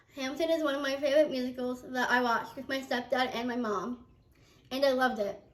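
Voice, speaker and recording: Over noticeable background noise, a woman with an American accent talks at a high pitch. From New Jersey. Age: 20s. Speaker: college student. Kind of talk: class speech.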